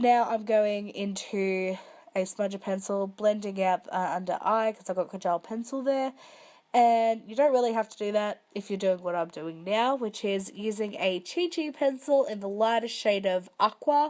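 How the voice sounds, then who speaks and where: With an Australian accent, a woman speaks at a moderate pace, with ordinary pitch variation and big swings in loudness. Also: medium pitch for a woman, very clean recording, silent background. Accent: Australian, broad. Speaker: makeup tutorial youtuber. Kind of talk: tutorial. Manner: casual, chatty.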